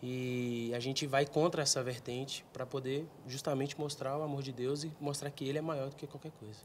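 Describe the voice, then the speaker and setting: A fairly quick, somewhat breathy delivery with hardly any pauses, monotone, flat intonation and light background noise. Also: man, fairly high pitch for a man. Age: young. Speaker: tenor singer; guest. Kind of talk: casual chat; reading aloud. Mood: calm, earnest, faith-focused. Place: studio. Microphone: handheld.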